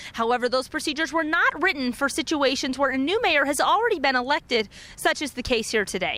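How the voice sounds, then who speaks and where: Raising and projecting her high-pitched voice, a woman speaks at a very fast pace with lively intonation over noticeable background noise. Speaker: TV news reporter. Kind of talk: local news reporter stand-up.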